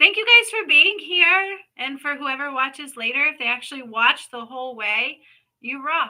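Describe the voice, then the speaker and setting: A woman uses a raised, projected voice with a bright, sharp tone. Her pitch swings very widely at a moderate pace. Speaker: spiritual healer and psychic reader. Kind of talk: live stream reading. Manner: slurred speech.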